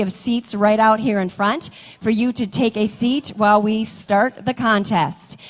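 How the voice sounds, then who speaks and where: Moderate-paced speech from a woman, fairly high in pitch, amid noticeable background noise. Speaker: contest emcee and former state champion auctioneer. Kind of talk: event welcome announcement.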